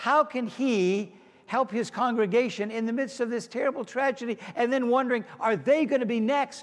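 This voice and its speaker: A man's extremely high-pitched voice with an American accent and ordinary pitch variation. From US, Pittsburgh, Pennsylvania. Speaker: pastor. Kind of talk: sermon.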